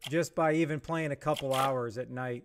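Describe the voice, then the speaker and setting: A man speaks loudly. His pace is fairly slow. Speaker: gaming streamer. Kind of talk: live stream chat.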